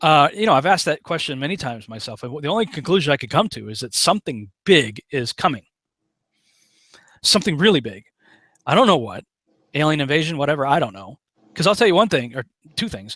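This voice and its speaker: A man with an American accent talks very fast at a fairly high pitch, with very wide pitch swings, big swings in loudness and long, frequent pauses. His tone is bright and sharp, and the very clean recording has a silent background and a dry, close sound with no echo. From western Massachusetts (Chicopee). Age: 40s. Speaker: online preacher and screenwriter, conspiracy researcher. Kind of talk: casual interview chat.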